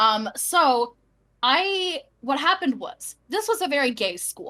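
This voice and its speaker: With an animated tone, a woman speaks in very wide pitch swings while music plays in the background. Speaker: streamer. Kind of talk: casual chat.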